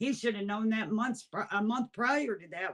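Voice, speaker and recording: This is a woman with an ordinary speaking voice at a medium pitch. She talks at a moderate pace. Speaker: mother of a missing person. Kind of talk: interview testimony.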